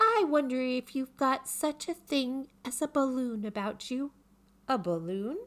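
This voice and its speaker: This woman puts on a character voice pitched high. She keeps a moderate pace. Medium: read story. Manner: earnest, slow, ponderous.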